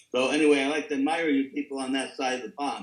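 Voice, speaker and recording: Speaking with a New York accent, a man keeps a fairly quick pace at a fairly high pitch with ordinary pitch variation. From New York City, the Bronx. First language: Italian. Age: 80s+. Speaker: recovery speaker. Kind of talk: testimony. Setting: video call.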